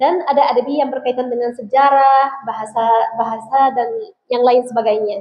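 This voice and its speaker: At a moderate pace, a woman talks in a high pitch. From Egypt. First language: Arabic (speaking Indonesian). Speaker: Islamic preacher. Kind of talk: religious talk to students. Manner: casual, conversational.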